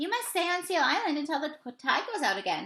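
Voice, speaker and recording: Squeaky and high-pitched, a woman performs a put-on character voice. She moves at a fairly quick pace with very wide pitch swings. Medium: read story. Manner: kind.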